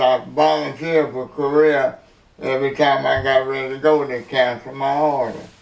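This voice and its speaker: Over noticeable background noise, a man with a fairly high pitch speaks at a moderate pace in a flat, monotone way. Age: 80s+. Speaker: army veteran, hurricane survivor. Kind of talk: interview answer.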